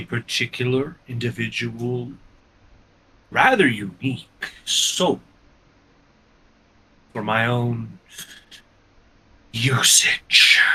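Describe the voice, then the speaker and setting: A man speaks in a put-on character voice at medium pitch, very slowly, with long, frequent pauses. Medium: actual play. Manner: formal, archaic, detached.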